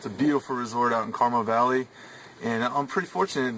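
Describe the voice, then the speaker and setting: With an American accent, a man speaks at a very fast pace and medium pitch. His intonation is fairly even, and there is noticeable background noise. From California, US. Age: 30s. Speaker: bass fisherman. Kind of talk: audition video monologue. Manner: casual, halting with repetitions.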